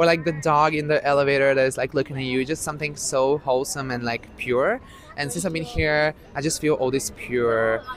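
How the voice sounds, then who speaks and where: A man with an Italian accent speaks fairly quickly at a fairly high pitch with ordinary pitch variation, over noticeable background noise. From Italy. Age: 20s. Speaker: student. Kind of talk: casual chat.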